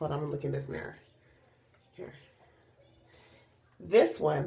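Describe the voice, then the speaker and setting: A woman with vocal fry and lively intonation. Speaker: hair vlogger. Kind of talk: casual talk to camera.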